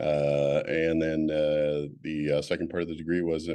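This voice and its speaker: Very deep, low male voice with a dark, mellow tone, monotone, flat intonation and an American accent. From California, US. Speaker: admissions consultant. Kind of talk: interview. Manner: hesitant, many fillers.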